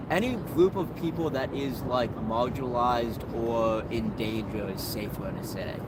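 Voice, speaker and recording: Amid noticeable background noise and audible room echo, a man speaks at a medium pitch with ordinary variation, keeping a moderate pace and hardly pausing. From New England (Vermont and Maine). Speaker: homeless man. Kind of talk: street interview. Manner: hesitant, filler-heavy speech.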